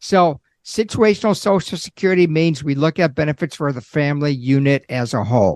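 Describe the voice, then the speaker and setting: In a normal speaking voice, a man talks fairly quickly at a fairly high pitch with lively intonation, the sound dry and close with no echo against a quiet background. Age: 60s. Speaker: Social Security expert, accountant. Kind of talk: podcast interview.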